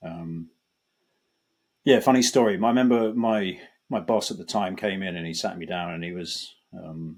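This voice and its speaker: In a very clean recording with a silent background, a man with a British accent and a very deep, low pitch speaks at a moderate pace, with ordinary pitch variation, big swings in loudness and long, frequent pauses. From Britain. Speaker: banking data executive. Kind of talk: podcast interview. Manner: halting, many fillers and restarts.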